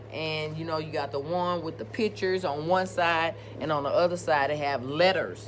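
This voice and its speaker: At a moderate pace, a woman with a very deep, low voice swings her pitch very widely, while music plays in the background and the room echo is audible. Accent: American. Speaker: nursing instructor. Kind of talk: lecture. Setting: recorded video presentation.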